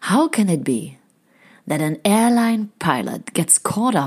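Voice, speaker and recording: In a very clean recording with a silent background, a woman with a German accent speaks fairly slowly with lively intonation. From Germany. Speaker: podcast host and happiness researcher. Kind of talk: scripted intro.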